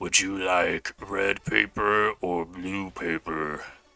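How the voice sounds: A man puts on a character voice, very deep and low in pitch. He talks very slowly, and the sound is dry and close with no echo.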